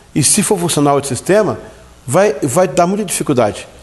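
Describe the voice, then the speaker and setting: Through noticeable background noise, a man with a fairly high pitch speaks at a fairly quick pace with lively intonation. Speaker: church leadership teacher. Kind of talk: lecture. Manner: halting.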